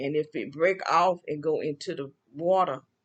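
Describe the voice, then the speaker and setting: In a Southern US accent, a woman speaks at a fairly low pitch with ordinary variation. The background is quiet. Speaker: vlogger. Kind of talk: casual monologue. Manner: halting.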